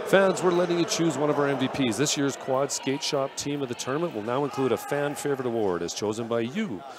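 Noticeable background noise runs under a man's speech. He talks at a fairly quick pace with a fairly high pitch. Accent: Canadian. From Canada, Vancouver. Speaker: sports commentator. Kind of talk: live commentary. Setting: arena, live event. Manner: animated.

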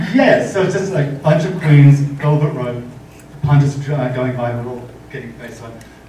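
Over light background noise and audible room echo, a man with a fairly high pitch talks at a moderate pace, with ordinary pitch variation and big swings in loudness. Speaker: makeup artist. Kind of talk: panel talk. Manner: soft-spoken. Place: hall.

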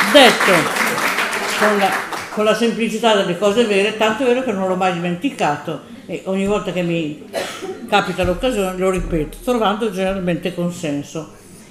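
A woman speaks at a fairly quick pace with ordinary pitch variation and long, frequent pauses, with noticeable background noise present. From Novara, northern Italy. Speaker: politician and feminist activist. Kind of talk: public lecture. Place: hall. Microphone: podium.

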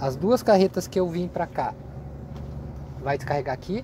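The speech comes at a moderate pace, with a dry sound, no echo, and light background noise. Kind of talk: casual vlog chat. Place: car. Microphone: phone near.

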